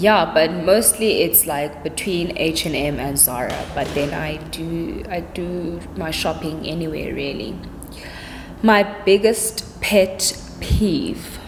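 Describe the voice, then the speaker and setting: A woman speaks very slowly with ordinary pitch variation, with audible room echo and noticeable background noise. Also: fairly low pitch for a woman. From South Africa, Cape Town. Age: 20s. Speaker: YouTuber. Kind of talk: casual vlog Q&A. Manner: chatty, relaxed.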